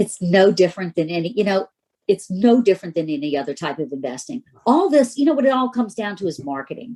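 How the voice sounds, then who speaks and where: A woman talks at a very fast pace in a medium pitch. Her tone is dark and mellow, with very wide pitch swings. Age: 60s. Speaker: real estate investor and broker. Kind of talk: podcast interview. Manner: casual, hesitant with fillers.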